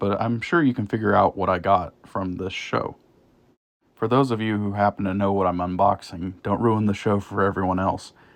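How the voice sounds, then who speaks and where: A man speaks with a Midwestern accent at a fairly quick pace. His pitch is fairly low and his intonation fairly even. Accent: Midwest. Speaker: train hobby YouTuber. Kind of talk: narrated trip recap voiceover.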